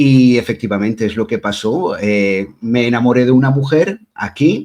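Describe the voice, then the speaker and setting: A man with an Asturian accent, medium-pitched, with a dark, mellow tone and ordinary pitch variation. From Belgium, Brussels, Spanish parents. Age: 40s. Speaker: witch and tarot reader. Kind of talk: interview.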